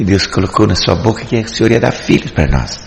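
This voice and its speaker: A man at medium pitch and a moderate pace, with audible room echo and noticeable background noise. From Paraná, Brazil (Faxinal). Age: 70s. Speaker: church deacon. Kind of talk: religious testimony. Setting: church service.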